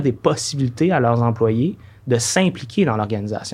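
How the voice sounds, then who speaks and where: Against a quiet background, a man with a Quebec accent sounds somewhat breathy and uses lively intonation. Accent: Québécois French. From Quebec City, Quebec. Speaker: director of an engineering charity. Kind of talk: podcast interview.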